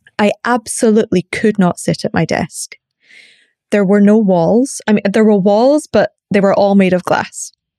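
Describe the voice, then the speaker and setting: A woman at medium pitch speaks in a dark, mellow tone with very even loudness, the sound dry and close with no echo. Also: ordinary pitch variation, moderate pace. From Scotland. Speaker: coach and facilitator. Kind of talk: casual interview chat. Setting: podcast interview.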